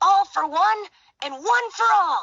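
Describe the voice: In a put-on character voice, a woman speaks slowly, extremely high-pitched, with a bright, sharp tone and lively intonation.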